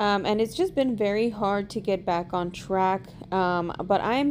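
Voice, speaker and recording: In an ordinary speaking voice, a woman talks at medium pitch and a moderate pace with ordinary pitch variation, on a very clean recording with a silent background. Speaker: DIY furniture and decor flipper. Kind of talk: voiceover tutorial. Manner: casual, with filler ums.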